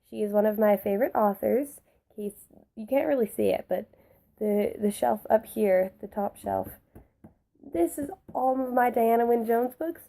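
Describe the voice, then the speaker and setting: A woman's fairly high voice with a dark, mellow tone, ordinary pitch variation, a moderate pace and long, frequent pauses. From Canada. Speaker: book vlogger. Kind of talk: casual chat. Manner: chatty, filler-heavy.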